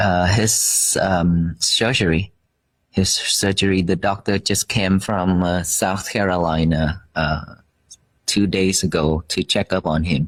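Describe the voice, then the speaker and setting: In a Vietnamese accent, a man speaks at a very slow pace with very deep, low pitch. His intonation is fairly even and his loudness very even. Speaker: Buddhist monk. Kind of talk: interview. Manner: halting.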